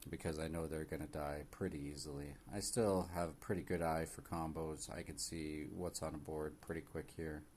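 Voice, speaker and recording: A man mumbles at a moderate pace with hardly any pauses. His very deep, low pitch holds a fairly even intonation. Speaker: gaming streamer. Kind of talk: live gameplay commentary. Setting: live stream. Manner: mumbling; hesitant, many fillers.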